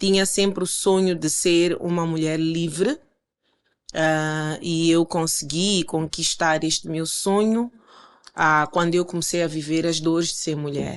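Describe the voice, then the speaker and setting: A woman at a fairly slow pace with a fairly low pitch and fairly even intonation, over a quiet background. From Mozambique, Maputo. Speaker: life coach and motivational speaker. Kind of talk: interview conversation.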